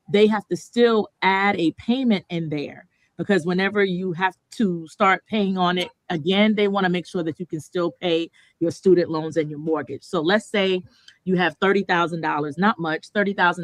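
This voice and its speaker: A woman has an ordinary speaking voice, fairly low in pitch with ordinary pitch variation. She speaks at a moderate pace, and the sound is dry and close with no echo. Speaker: mortgage lending presenter. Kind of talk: seminar presentation. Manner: conversational with filler words.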